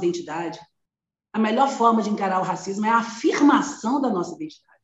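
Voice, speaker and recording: A woman with a fairly high pitch and lively intonation sounds somewhat breathy, with audible room echo around her. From Brazil, Belo Horizonte, Minas Gerais. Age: 50s. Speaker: educator and anti-racism activist. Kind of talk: interview conversation.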